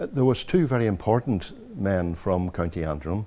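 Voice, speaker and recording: A man with a Northern Irish accent, very deep and low in pitch, with a dark, mellow tone, ordinary pitch variation and a moderate pace. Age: 70s. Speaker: traditional music historian. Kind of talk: interview reminiscence. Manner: halting.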